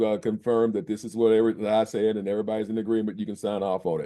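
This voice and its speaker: The tone is dark and mellow, with fairly even intonation at a very fast pace. The background is quiet. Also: man. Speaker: family court judge. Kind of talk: court hearing. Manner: halting with many fillers.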